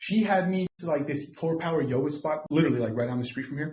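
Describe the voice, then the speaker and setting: Animated in tone, a man speaks at a fairly high pitch with ordinary pitch variation. His voice is somewhat breathy. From Mexico. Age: 30s. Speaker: podcast co-host. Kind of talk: casual chat.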